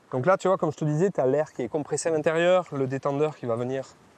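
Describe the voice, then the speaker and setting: A man speaks with a southwestern French accent at a fairly quick pace. His fairly high pitch shows ordinary variation. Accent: southwest French. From southwest France, Marmande. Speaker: dive instructor. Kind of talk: casual chat.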